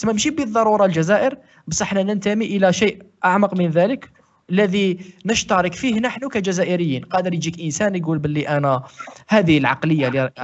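In an Algerian accent, the voice moves at a moderate pace with very wide pitch swings. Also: man. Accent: Algerian Arabic with French code-switching. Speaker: podcast co-host. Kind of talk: casual chat.

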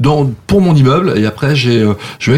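The voice is somewhat breathy and moves at a moderate pace. Its pitch variation is ordinary. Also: man. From France, Savoie (Saint-Jean-de-Maurienne). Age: 50s. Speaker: show producer and former radio programme director. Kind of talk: interview. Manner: hesitant, many fillers.

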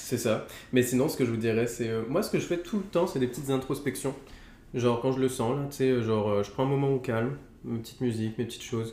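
The man talks very quickly, his medium pitch showing ordinary variation. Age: 20s. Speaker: YouTuber friend. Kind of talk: casual chat.

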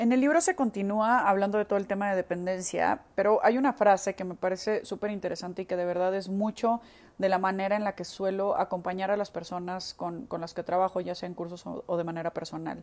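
In a very clean recording with a silent background, a woman talks at a fairly quick pace. She has a plain, everyday voice, medium pitch and fairly even intonation. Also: hardly any pauses. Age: 30s. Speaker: podcast host and psychotherapist. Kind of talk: solo podcast book review.

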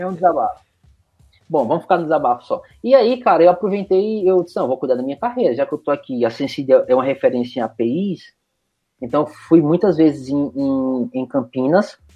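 A man's fairly high voice with lively intonation at a fairly quick pace. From Recife, Brazil. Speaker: IT professional, DevOps specialist. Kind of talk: casual interview. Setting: remote recording.

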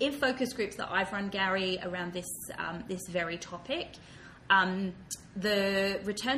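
Medium pitch from a woman, with ordinary pitch variation. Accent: Australian. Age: 30s. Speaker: diversity and inclusion consultant. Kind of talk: interview. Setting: office.

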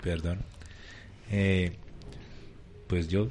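With fairly even intonation, a man speaks in a fairly low pitch. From Bogotá, Kennedy. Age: 30s. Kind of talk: live radio chat.

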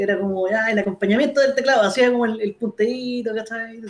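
A man with a Chilean accent speaks at a high pitch with ordinary pitch variation. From Chile, Molina. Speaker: keyboard player. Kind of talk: casual chat.

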